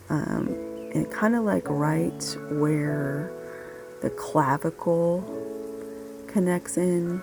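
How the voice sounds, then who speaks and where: Over music in the background, a woman speaks at a very slow pace with long, frequent pauses. Her loudness stays very even. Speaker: massage therapist. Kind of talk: instructional narration. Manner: soothing, calm.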